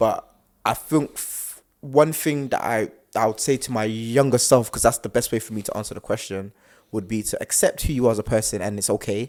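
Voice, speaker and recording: The recording is very clean with a silent background. A man talks at a fairly quick pace in a medium pitch with ordinary pitch variation. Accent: South London. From South London, England. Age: young. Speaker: podcast co-host. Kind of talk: casual chat.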